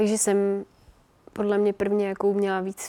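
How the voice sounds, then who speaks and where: A woman talks at a moderate pace and medium pitch. Her tone is dark and mellow. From Czech Republic. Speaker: professional runner. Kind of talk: casual interview.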